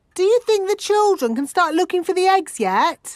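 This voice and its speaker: A put-on character voice, female-sounding and squeaky, pitched extremely high. It moves along at a moderate pace. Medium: cartoon. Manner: warm, motherly.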